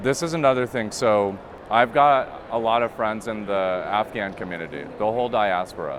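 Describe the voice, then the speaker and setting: A man speaks at a medium pitch with ordinary pitch variation and a moderate pace. Noticeable background noise runs behind him. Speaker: interviewer. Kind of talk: casual interview conversation.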